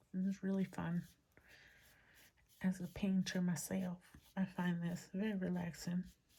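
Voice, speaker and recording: Speaking fairly slowly with long, frequent pauses, a woman uses a medium-pitched, dark, mellow and somewhat breathy voice in a monotone, flat intonation. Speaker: crafting youtuber. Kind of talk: tutorial. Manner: casual.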